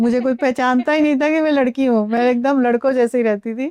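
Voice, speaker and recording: A woman's high, dark, mellow voice at a moderate pace, with ordinary pitch variation and a dry, close sound with no echo. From Bihar (Thawe, Gopalganj district). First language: Bhojpuri (speaking Hindi). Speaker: actress. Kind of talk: interview. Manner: casual, with fillers and hesitations.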